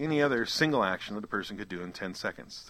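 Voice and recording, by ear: The text is read aloud in a natural voice. Its intonation moves in a lively way.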